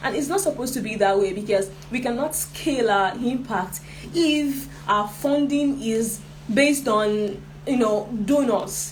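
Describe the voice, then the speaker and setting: Amid noticeable background noise and audible room echo, a woman talks at a moderate pace with a fairly high pitch and ordinary pitch variation. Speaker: social enterprise trainer. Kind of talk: online workshop lecture.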